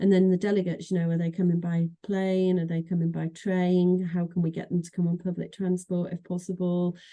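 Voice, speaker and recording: A woman speaks with a Manchester accent at a fairly quick pace, her pitch fairly low and her tone dark and mellow. Her intonation stays monotone and flat. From northern England, Manchester. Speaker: association executive director. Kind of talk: interview conversation. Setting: podcast. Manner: hesitant, many fillers and repeats.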